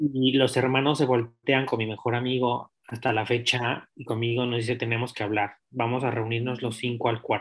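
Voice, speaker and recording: A man speaks at a moderate pace with hardly any pauses. His medium-pitched voice stays monotone and flat. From Mexico City. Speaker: interview guest. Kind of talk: personal testimony.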